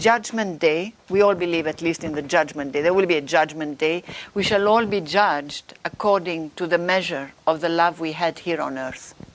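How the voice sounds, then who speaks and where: Speaking with a non-native accent, a woman with a fairly low voice shows ordinary pitch variation. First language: not English. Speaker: author and religious speaker. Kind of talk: interview. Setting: live stream.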